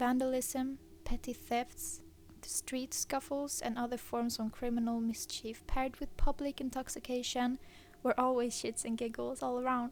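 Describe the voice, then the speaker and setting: A woman's high voice with a Swedish accent, flat and monotone in intonation, at a moderate pace. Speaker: horror story narrator. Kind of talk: reading aloud.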